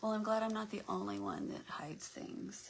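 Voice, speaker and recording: A woman is speaking. Her pace is moderate. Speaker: crafting livestream host. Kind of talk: casual chat.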